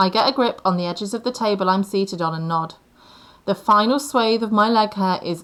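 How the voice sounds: Natural reading voice, pitch moving in an ordinary way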